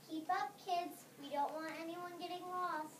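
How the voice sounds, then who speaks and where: A woman's put-on character voice, squeaky and extremely high-pitched, flat and monotone at a moderate pace, with clear background noise and a slight echo. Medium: stage play. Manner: brisk, bossy.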